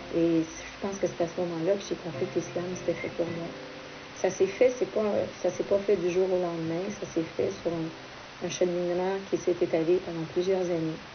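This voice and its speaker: With a Quebec French accent, a woman talks at a fairly quick pace in a fairly low pitch, her intonation monotone and flat, over noticeable background noise. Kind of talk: interview testimony.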